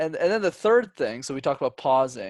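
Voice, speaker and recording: Recorded very cleanly against a silent background, a man speaks at a fairly quick pace with a dry, close sound and no echo. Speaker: public speaking coach. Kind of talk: podcast interview. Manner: talkative, fast.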